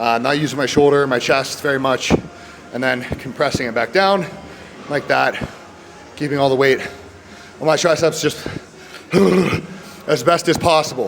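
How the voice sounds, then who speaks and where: A man at a fairly high pitch with fairly even intonation and long, frequent pauses, amid noticeable background noise and audible room echo. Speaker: fitness vlogger. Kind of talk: casual gym vlog. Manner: fast; stutters over words.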